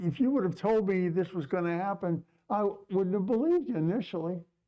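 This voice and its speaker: A man speaks loudly at a moderate pace, with a dark, mellow tone at a high pitch. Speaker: rabbi. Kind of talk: sermon. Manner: halting.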